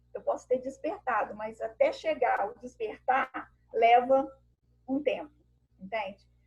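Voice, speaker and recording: A woman at a fairly slow pace. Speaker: women's group speaker. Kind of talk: talk to a women's group on a video call.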